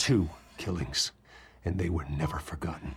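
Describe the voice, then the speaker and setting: Using a put-on character voice, a man growls at a moderate pace with a very deep, low pitch. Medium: video game. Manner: terse, controlled.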